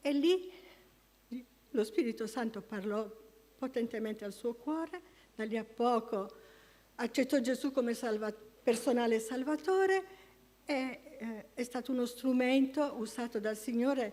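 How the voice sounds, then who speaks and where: Speaking with an Apulian accent, a woman uses a high pitch with ordinary pitch variation, moving at a fairly slow pace with long, frequent pauses. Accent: Apulian, noted by herself. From Apulia, southern Italy. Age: 70s. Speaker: church member giving testimony. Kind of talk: testimony. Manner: halting.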